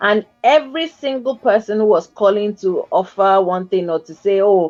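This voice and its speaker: A woman speaks at a moderate pace and medium pitch. Her tone is animated, with lively intonation. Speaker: talk show host. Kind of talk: casual chat.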